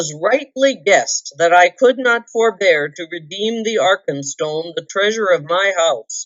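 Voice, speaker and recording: A woman in a put-on character voice, at medium pitch and a moderate pace, with hardly any pauses. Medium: read story. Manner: proud, angry.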